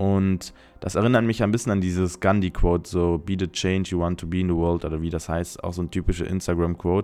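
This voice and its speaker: At a very fast pace, a man speaks with very deep, low pitch, fairly even intonation and a dark, mellow tone. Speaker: podcast host. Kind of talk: solo podcast monologue. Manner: chatty, talkative.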